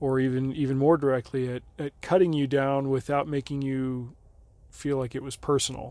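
In an American accent, a man speaks at a moderate pace and medium pitch, his tone dark and mellow and his intonation flat and monotone. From Nevada. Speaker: podcast host, former missionary. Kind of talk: personal storytelling narration.

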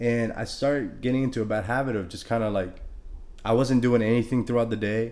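A man at a medium pitch, talking at a fairly quick pace in a monotone, flat delivery, with audible room echo. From Honduras. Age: 20s. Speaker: fitness trainer. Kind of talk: casual interview.

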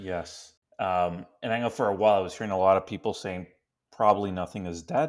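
A man speaks at a fairly quick pace with a fairly low pitch. The recording is very clean, with a silent background. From Canada. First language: Spanish. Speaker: podcast co-host. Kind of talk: casual chat.

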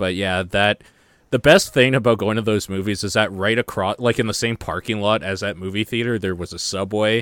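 Delivered at a fairly quick pace with fairly even intonation, a plain, everyday voice comes through in a very clean recording with a silent background and a dry, close sound with no echo. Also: man, fairly low pitch for a man. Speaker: gaming podcast host. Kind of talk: casual chat.

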